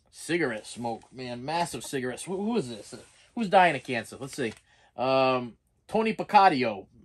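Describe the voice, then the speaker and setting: At a moderate pace, a man with a Boston accent talks in a fairly high pitch, his voice making very wide pitch swings and big swings in loudness. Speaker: collectibles vlogger. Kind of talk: casual vlog. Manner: halting, repeats words.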